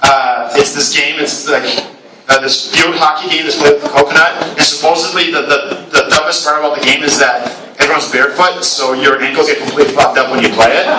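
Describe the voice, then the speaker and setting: Fairly even intonation at a fairly quick pace, with audible room echo and noticeable background noise. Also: man, fairly high pitch for a man. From Brazil. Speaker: game designer. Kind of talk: talk at event. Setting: live event with audience. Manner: casual, hesitant with many fillers.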